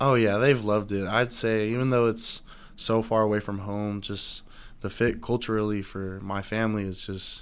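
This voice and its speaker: The speech comes in an American accent with monotone, flat intonation. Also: man, fairly low pitch for a man, moderate pace. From Southern California. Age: 20s. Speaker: college football player. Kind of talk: podcast interview. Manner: soft-spoken; halting, many fillers.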